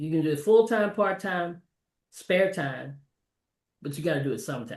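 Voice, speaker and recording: An unremarkable speaking voice from a woman with an American accent, fairly low in pitch, lively in intonation, at a moderate pace. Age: 60s. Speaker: energy advisor. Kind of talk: interview.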